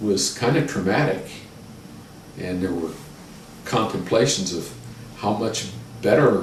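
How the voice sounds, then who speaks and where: Noticeable background noise surrounds the recording. A man talks with a Midwestern American accent. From Westerville, Ohio. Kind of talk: oral history interview answer.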